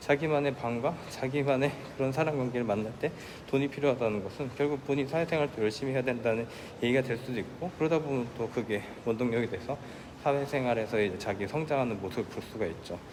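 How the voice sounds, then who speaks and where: Speaking at a very fast pace, a man uses a medium pitch with ordinary pitch variation over noticeable background noise. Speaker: vlogger. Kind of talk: walking vlog monologue. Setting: outdoors, walking at night by a lake. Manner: halting.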